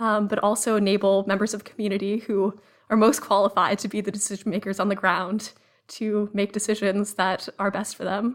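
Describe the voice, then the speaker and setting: Speaking at a fairly quick pace, a woman with a medium pitch holds a flat, monotone intonation on a very clean recording with a silent background. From Massachusetts (Cambridge). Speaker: research analyst. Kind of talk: podcast interview.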